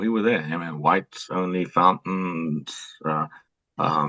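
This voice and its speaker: In a South African accent, a man speaks at a very deep, low pitch with ordinary pitch variation. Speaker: retired police officer. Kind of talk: interview. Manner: halting, many fillers.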